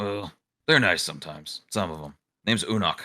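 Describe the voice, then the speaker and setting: A raspy put-on character voice moves along at a fairly quick pace. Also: man, fairly low pitch for a man. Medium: virtual streamer.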